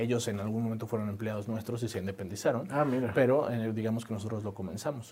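A man speaks at a very fast pace with hardly any pauses, in a medium pitch and fairly even intonation. Background noise is noticeable. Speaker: entrepreneur, startup founder. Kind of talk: interview conversation.

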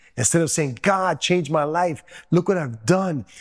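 Someone with a New York accent talks at a moderate pace. The background is quiet. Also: man. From Queens, New York. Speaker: former drug dealer turned preacher. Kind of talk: testimony.

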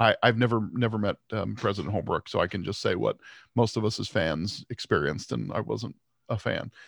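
In a very clean recording with a silent background, a man with vocal fry and a fairly low pitch talks at a very fast pace. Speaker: sports podcast co-host. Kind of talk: casual chat.

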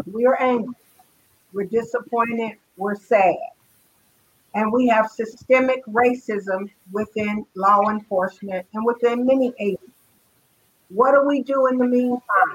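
This woman's voice is fairly high, with ordinary pitch variation. She speaks with long, frequent pauses. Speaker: panelist on talk show. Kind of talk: casual panel discussion.

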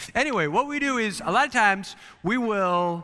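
With an American accent, the speaker uses a bright, sharp tone and very wide pitch swings. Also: man. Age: 40s. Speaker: missions pastor. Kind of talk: youth sermon. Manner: animated.

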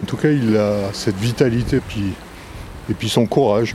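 Noticeable background noise surrounds a man's voice. His pitch is fairly low and shows ordinary variation. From Brittany, France. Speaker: writer and documentary maker. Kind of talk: interview.

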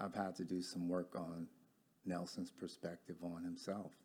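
A man talks with a very deep, low pitch and an American accent. His tone is dark and mellow. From Detroit, Michigan. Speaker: business owner and former life coach. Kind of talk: casual chat, livestream.

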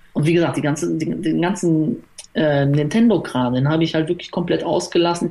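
Over noticeable background noise, a man with a fairly high pitch talks at a moderate pace, his loudness very even and his pitch variation ordinary. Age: 30s. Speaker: YouTuber making sports game let's plays. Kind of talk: casual chat.

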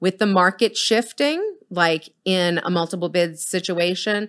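In a very clean recording with a silent background, a woman with an American accent speaks in a plain, everyday voice, medium in pitch, with ordinary pitch variation at a moderate pace. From Boston. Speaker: realtor and team leader. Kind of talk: casual interview.

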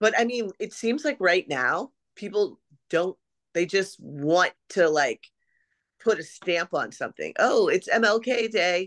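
A woman with a plain, everyday voice speaks fairly slowly at a medium pitch with lively intonation, the sound dry and close with no echo over a quiet background. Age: 40s. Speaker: event marketer. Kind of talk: casual chat.

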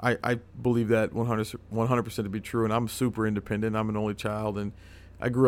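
A man speaks at a fairly quick pace in a fairly low voice. His intonation is flat and monotone. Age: 30s. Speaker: cigar company sales rep. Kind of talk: casual chat. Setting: cigar shop.

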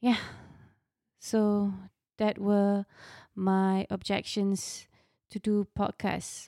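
Recorded very cleanly over a silent background, a woman speaks at a medium pitch in a dark, mellow tone, the sound dry and close with no echo. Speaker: podcast host and confidence coach for mothers. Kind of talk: casual monologue. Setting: studio. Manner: unscripted, flowing.

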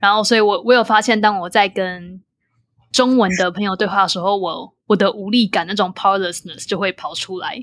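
Speaking at a fairly quick pace with a Taiwanese accent, a medium-pitched woman comes through on a very clean recording with a silent background. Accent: Taiwanese Mandarin. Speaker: podcast host. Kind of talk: interview. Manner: animated.

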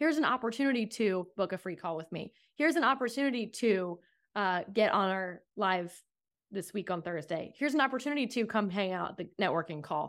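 A normal speaking voice with an American accent, fairly quick and lively in intonation. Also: woman, medium pitch for a woman. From US East Coast. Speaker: sales coach. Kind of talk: interview conversation.

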